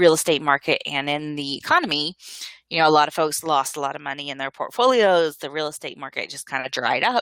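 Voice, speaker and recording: Dry and close with no echo, a woman's very deep, low voice has a bright, sharp tone, lively intonation and a fairly quick pace. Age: 50s. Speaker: webinar presenter on finances. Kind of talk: webinar presentation. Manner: hesitant fillers.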